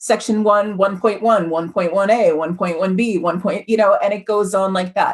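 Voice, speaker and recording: A woman's unremarkable speaking voice at medium pitch, with fairly even intonation. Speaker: HR consultant. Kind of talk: webinar presentation.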